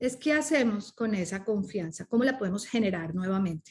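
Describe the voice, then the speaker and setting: A woman with a Spanish accent speaks in a somewhat breathy voice. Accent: Spanish accent when speaking English. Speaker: coach and speaker. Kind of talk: podcast interview. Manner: animated.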